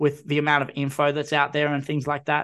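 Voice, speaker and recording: A man with an Australian accent speaks at a fairly high pitch in a bright, sharp tone. The background is quiet. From Newcastle, New South Wales. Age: 20s. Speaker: podcast host. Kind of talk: casual chat.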